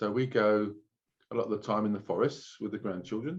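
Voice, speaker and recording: A man with a London accent speaks at a fairly quick pace and a fairly low pitch. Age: old. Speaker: oven cleaning franchisee. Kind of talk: interview. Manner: casual.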